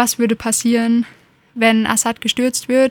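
A woman speaks in a fairly high voice with monotone, flat intonation. The sound is dry and close, with no echo. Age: young. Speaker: political activist. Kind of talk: interview.

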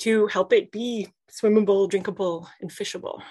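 Her voice is an ordinary speaking voice, fairly high for a woman, delivered at a moderate pace. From Canada. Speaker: podcast co-host. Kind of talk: interview.

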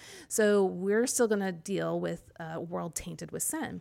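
Speech at a moderate pace with very wide pitch swings and a Midwestern American accent, on a very clean recording with a silent background. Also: woman. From US Midwest (Kansas City area). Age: 40s. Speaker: personality-typing coach and author. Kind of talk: interview.

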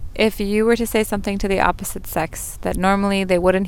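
The speech comes at a very fast pace with ordinary pitch variation. Background noise is noticeable. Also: woman. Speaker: podcast host. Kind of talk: casual interview. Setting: recorded on location in Egypt. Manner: warm, enthusiastic.

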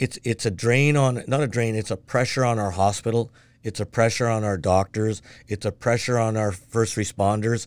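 A man with a Canadian accent talks in a normal speaking voice at a medium pitch and moderate pace, with fairly even intonation. The recording is very clean, with a silent background. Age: 60s. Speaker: city council candidate, retired mail carrier. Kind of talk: casual interview conversation.

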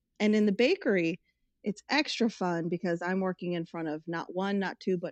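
In an American accent, a woman with an ordinary speaking voice talks at a moderate pace at medium pitch with ordinary variation, the sound dry and close with no echo. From Tucson, Arizona. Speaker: podcast guest. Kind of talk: casual chat.

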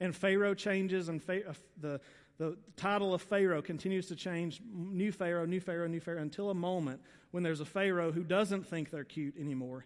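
With a Southern US accent, a man talks at a fairly quick pace in a high pitch. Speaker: pastor. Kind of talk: sermon. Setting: church. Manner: fast; animated.

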